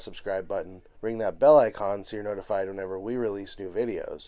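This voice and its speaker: A man's dark, mellow voice, fairly quick, with lively intonation. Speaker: travel vlogger. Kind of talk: casual vlog narration.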